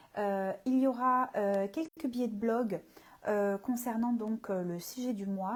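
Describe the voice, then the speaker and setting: A woman speaks at a fairly slow pace in a fairly high, somewhat breathy voice with ordinary pitch variation. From southern France, Marseille. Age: 30s. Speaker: communication consultant and coach. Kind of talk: live stream talk. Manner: hesitant, many fillers.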